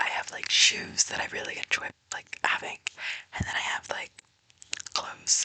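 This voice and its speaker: A woman whispers at a moderate pace. The sound is dry and close, with no echo. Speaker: ASMR creator. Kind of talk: ASMR whispering. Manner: whispering. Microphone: mic quality issues.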